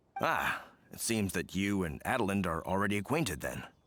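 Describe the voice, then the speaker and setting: Using a raspy, put-on character voice, a man talks at a fairly quick pace and fairly low pitch in a very clean recording with a silent background. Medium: video game. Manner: warm, casual.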